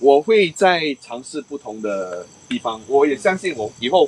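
The pitch swings very widely. The voice belongs to a man. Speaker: paranormal storytelling show host, former police officer; paranormal storytelling show host. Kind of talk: ghost storytelling live stream. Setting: outdoors at night, live stream. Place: open country. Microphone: poor reception.

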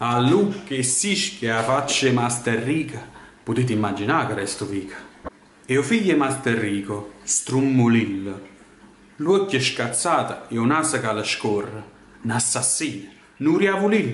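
A man with a Neapolitan accent, an intense tone and lively intonation, at a fairly slow pace with long, frequent pauses, amid audible room echo and light background noise. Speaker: dramatic reader. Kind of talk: poetry reading. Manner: intense, expressive. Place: home room. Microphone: webcam.

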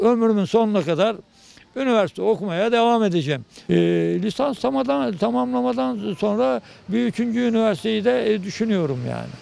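The voice makes very wide pitch swings in a dry recording with no echo. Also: man, high pitch for a man, moderate pace. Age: 70s. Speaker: retired teacher and graduate. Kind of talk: interview. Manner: halting. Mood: proud, content. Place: garden. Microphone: handheld.

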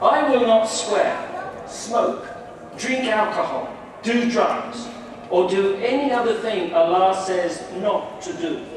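Over light background noise and strong room echo, a man speaks at a very slow pace in an extremely high pitch with lively intonation. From England. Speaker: new convert addressing a congregation. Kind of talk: speech to an audience. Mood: earnest, calm. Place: hall.

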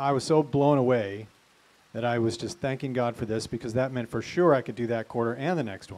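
Here a man speaks at a fairly quick pace. His pitch variation is ordinary. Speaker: pastor. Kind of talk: prayer and eulogy. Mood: grateful, heartfelt. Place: garden. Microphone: handheld.

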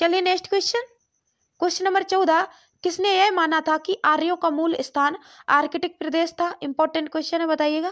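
A woman speaks at an extremely high pitch with very even loudness and fairly even intonation. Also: moderate pace. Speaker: quiz tutor for exam prep. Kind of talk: tutorial. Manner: repetitive quiz-style pacing.

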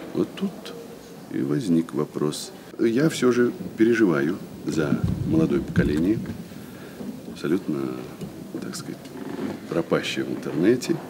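A man speaks fairly slowly, leaving long, frequent pauses, while noticeable background noise plays behind him. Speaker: stage actor. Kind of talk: interview answer. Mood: thoughtful, concerned. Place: stage.

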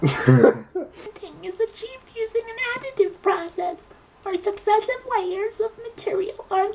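At a fairly slow pace, a man performs a put-on character voice pitched extremely high. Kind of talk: explainer narration. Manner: goofy, funny.

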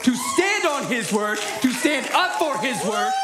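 A man with an extremely high pitch and lively intonation at a fairly slow pace, against noticeable background noise. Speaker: preacher. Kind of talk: sermon. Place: church. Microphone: headset.

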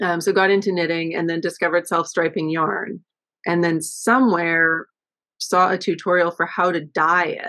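A woman with a Canadian accent has a bright, sharp tone and fairly even intonation. She talks at a moderate pace against a quiet background. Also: fairly low pitch for a woman. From western Canada (Vancouver, from high school on). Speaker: yarn dyer, small business owner; guest. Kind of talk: casual interview. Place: home room. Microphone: video call.

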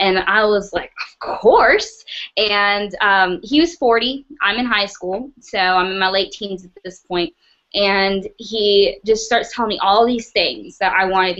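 Over a quiet background, a woman speaks at a medium pitch. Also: ordinary pitch variation, fairly slow pace. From US South, North Carolina. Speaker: trafficking survivor and speaker. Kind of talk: testimony. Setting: video call. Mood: earnest, reflective. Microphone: webcam.

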